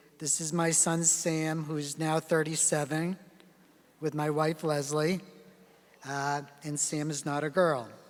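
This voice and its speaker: Talking at a fairly slow pace, a man keeps a monotone, flat intonation and leaves long, frequent pauses. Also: fairly high pitch for a man. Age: 60s. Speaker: geriatrics physician giving keynote lecture. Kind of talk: lecture.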